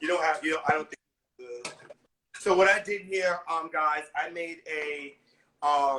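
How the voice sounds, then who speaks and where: A man with an American accent speaks at a fairly high pitch. His tone is bright and sharp, with ordinary pitch variation. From New York City. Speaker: celebrity chef. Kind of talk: live baking tutorial. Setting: home kitchen, live video stream.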